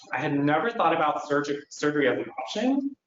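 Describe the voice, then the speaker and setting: Audible room echo surrounds a man speaking at a fairly quick pace with a fairly high pitch. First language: Chinese. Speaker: nurse practitioner. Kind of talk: conference presentation.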